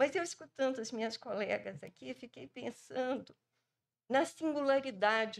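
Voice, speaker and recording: A woman talks in a Brazilian accent. Her intonation is lively. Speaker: epidemiologist; panelist. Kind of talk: panel talk. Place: hall. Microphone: podium.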